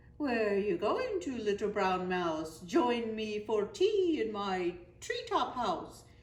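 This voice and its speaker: A woman puts on a character voice at a fairly high pitch, going at a fairly slow pace with hardly any pauses. Light background noise can be heard. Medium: read story. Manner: hooting.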